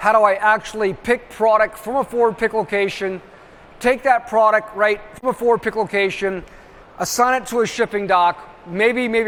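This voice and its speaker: A man talks at a fairly quick pace. His pitch is high and his intonation fairly even. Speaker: trade show presenter. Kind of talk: conference presentation. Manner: fast.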